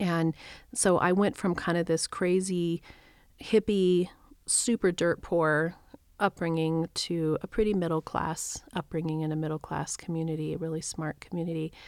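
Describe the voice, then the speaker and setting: In a very clean recording with a silent background, a woman with a normal speaking voice and a fairly low pitch talks at a moderate pace, the sound dry and close with no echo and the intonation fairly even. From New Mexico, US. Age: 50s. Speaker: spiritual coach and reverend. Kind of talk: casual chat.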